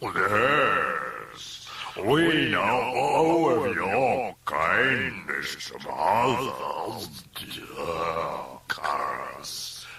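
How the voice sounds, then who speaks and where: A man puts on a croaky character voice. He speaks at a very slow pace. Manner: menacing.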